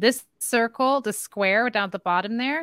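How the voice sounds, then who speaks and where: A woman speaks in an animated tone with ordinary pitch variation. The sound is dry and close, with no echo. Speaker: psychic medium and podcast host. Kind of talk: interview. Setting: video call.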